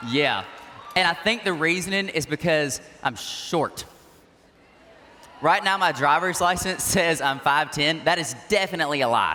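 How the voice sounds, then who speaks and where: A man with a fairly high pitch speaks at a moderate pace in an animated tone, with ordinary pitch variation and very even loudness. Long, frequent pauses break up his speech amid noticeable background noise. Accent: Southern US. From US South, Georgia. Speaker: youth organization president. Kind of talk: keynote speech. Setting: stage with audience.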